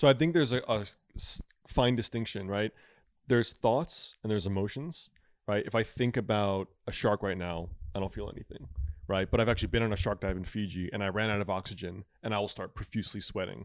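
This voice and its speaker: Using an ordinary speaking voice, a man with an American accent talks at a fairly quick pace in a fairly low pitch with ordinary pitch variation. The recording is very clean, with a silent background. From Connecticut, Stamford area. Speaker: traditional Chinese medicine doctor and author. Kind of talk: casual chat.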